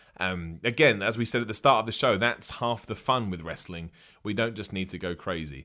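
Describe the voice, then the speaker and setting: A man's bright, sharp, animated voice at a fairly quick pace with lively intonation. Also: very clean recording, silent background. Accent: English. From England. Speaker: wrestling podcast host. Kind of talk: live-streamed solo podcast with chat questions. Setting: live stream on video platform.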